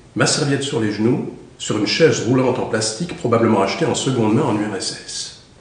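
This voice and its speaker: A man at a moderate pace with medium pitch, ordinary pitch variation and noticeable background noise. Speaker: actor. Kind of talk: audiobook reading.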